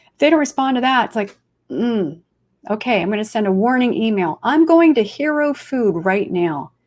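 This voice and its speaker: A woman speaks in an animated tone at a fairly high pitch, her voice swinging very widely. Her pace is moderate. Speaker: food photographer, conference speaker. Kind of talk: webinar presentation.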